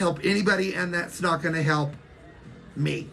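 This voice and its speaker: At a moderate pace and with fairly even intonation, a woman with a fairly low pitch speaks amid audible room echo. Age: 60s. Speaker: social media livestreamer. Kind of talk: casual livestream chat.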